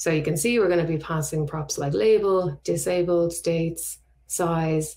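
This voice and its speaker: Somewhat breathy, a woman speaks in a fairly low pitch. Her pace is fairly slow and her intonation fairly even. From Ireland, Dublin. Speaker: front-end web developer, conference speaker. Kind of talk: conference tech talk with live code demo. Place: home room.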